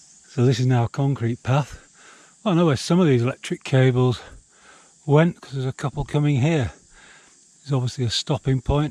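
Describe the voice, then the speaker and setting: A man's dark, mellow tone at a medium pitch, with a Yorkshire accent, ordinary pitch variation, a fairly quick pace broken by long, frequent pauses, a dry, close sound with no echo, and a very clean recording over a silent background. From Yorkshire, northern England. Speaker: hiking vlogger. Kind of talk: walking vlog narration. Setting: outdoors, hiking. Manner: casual, with hesitations.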